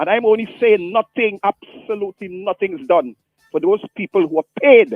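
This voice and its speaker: A man's high-pitched, animated voice with lively intonation, set against music in the background. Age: 60s. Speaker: caller. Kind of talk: phone-in call.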